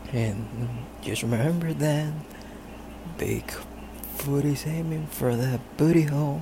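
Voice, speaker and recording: This man's fairly high voice moves at a very slow pace with long, frequent pauses and ordinary pitch variation, against noticeable background noise. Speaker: listener calling in. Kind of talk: voicemail message.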